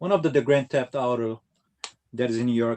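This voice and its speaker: The man's delivery is fairly quick. His voice sits at a medium pitch, and his intonation stays fairly even. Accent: Brazilian Portuguese. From Brazil. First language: Portuguese. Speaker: retro gaming YouTuber. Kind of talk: casual chat. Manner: halting.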